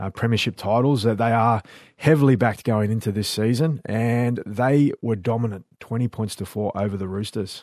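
Against a quiet background, a man talks at a fairly quick pace in an unremarkable speaking voice with ordinary pitch variation. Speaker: co-host and rugby league presenter. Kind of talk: casual chat. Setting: studio.

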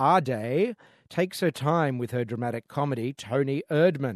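An unremarkable speaking voice with lively intonation, at a fairly slow pace. The sound is dry and close with no echo, over a quiet background. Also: man. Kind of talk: radio host patter: polished film-review segment with signposting intros. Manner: warm, fluent and upbeat; brisk, clearly enunciated broadcaster delivery with wry asides.

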